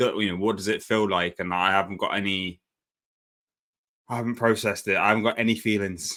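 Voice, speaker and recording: A man speaks in a bright, sharp tone. His intonation stays fairly even. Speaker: football podcast host. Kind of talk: casual chat. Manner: halting.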